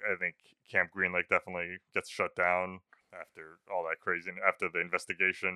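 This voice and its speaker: Very deep and low in pitch, a man speaks at a fairly quick pace with monotone, flat intonation. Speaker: podcast host.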